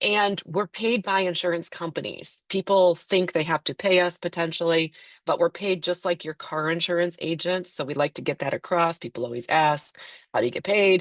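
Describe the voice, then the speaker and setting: A woman speaks with a fairly low pitch and ordinary pitch variation, the sound dry and close with no echo over a quiet background. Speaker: Medicare insurance agent. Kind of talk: webinar presentation. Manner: fast.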